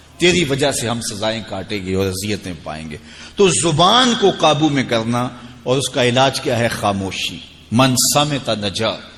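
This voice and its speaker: This man's voice sits at a medium pitch and swings very widely up and down. There is noticeable background noise. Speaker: Islamic scholar giving a sermon. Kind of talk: religious sermon / lecture. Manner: soft-spoken.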